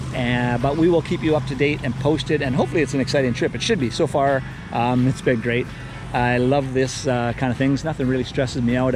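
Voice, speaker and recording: Music plays in the background as a man talks at a very fast pace. His pitch is medium and his loudness very even. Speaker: vlogger and resort owner. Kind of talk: casual vlog. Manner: casual, rambling with fillers.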